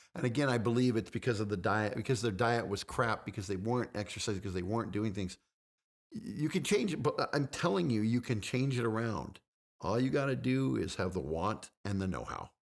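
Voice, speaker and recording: Using vocal fry, a man speaks at a medium pitch. He keeps a fairly quick pace with lively intonation. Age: 50s. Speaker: fitness guest, reality TV personality. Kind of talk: casual chat. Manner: repetitive, stammering; animated.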